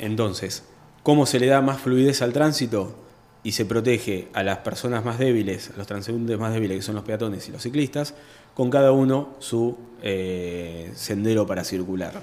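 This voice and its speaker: An ordinary speaking voice at a moderate pace, with ordinary pitch variation. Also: man, medium pitch for a man. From Argentina, Buenos Aires province (Chacabuco). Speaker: architect, urban planner. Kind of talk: radio interview. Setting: radio studio.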